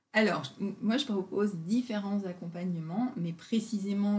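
A woman's somewhat breathy voice, dark and mellow in tone, moves at a fairly slow pace. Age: 50s. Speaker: naturopath and body-mind therapist. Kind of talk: casual interview. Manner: hesitant, many fillers.

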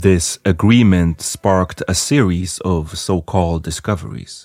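Very deep and low in pitch, a man speaks with a dry, close sound with no echo in a very clean recording with a silent background. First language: not English. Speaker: history podcast host. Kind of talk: scripted narration.

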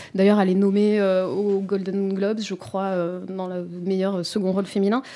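Here a woman speaks with a dark, mellow tone. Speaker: film critic. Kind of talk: casual chat. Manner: halting, repeats words.

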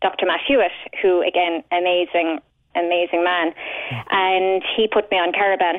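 A woman with a Cork accent speaks at a medium pitch. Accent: Cork Irish. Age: 40s. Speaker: patient sharing illness experience. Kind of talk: radio phone-in testimony. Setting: phone call.

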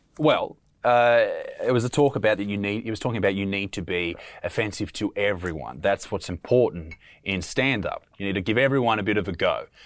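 In an Australian accent, a man with a fairly low pitch and ordinary pitch variation talks at a fairly quick pace on a very clean recording with a silent background. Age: 20s. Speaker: comedian and podcast host. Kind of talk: casual chat.

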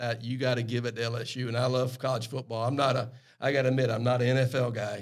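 A man with a strong Southern US accent talks at a very fast pace in a medium pitch, his intonation flat and monotone. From US South, South Carolina Lowcountry. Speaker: airline pilot. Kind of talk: casual chat. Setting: studio.

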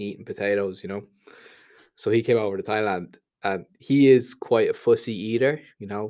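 In a Dublin accent, a man speaks at a moderate pace with fairly even intonation. His fairly low voice has a dark, mellow tone, and the recording is very clean with a silent background. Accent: Dublin Irish. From Dublin, Ireland. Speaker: YouTuber. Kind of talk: casual chat.

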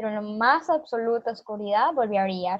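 A woman speaks at a fairly high pitch. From Honduras. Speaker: activist, foundation founder. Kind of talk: interview. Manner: halting.

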